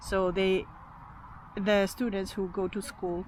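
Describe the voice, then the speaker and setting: A woman speaks at a moderate pace in a fairly low pitch with a Finnish accent, and there is noticeable background noise. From Finland. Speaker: YouTuber. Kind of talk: casual monologue to camera.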